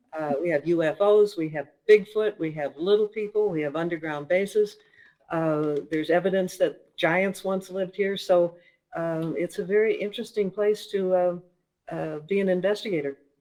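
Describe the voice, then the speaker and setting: A woman speaks with a slight Minnesota accent at a medium pitch and moderate pace. Her tone is dark and mellow, with fairly even intonation. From Minnesota, US Midwest. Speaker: author and paranormal investigator. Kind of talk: interview.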